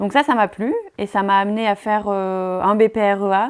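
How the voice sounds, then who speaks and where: The very clean recording of a woman has a silent background. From France, Drôme. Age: 20s. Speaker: beekeeper. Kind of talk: interview testimony. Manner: hesitant, many fillers.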